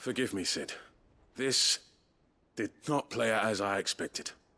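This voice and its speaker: Using a put-on character voice, a man sounds raspy at medium pitch and a moderate pace, with a dry, close sound with no echo. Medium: video game. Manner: curt, authoritative.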